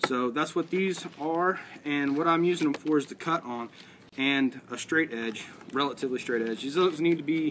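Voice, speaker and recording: A man's voice with ordinary pitch variation amid noticeable background noise. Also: moderate pace. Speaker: outdoors crafts demonstrator. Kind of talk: tutorial. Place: garden.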